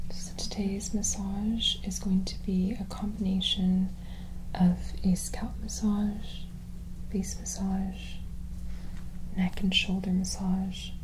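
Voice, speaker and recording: Soft-spoken, very slow speech broken by long, frequent pauses, over noticeable background noise. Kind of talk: calm explanation to client. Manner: soft, hushed ASMR speaking voice.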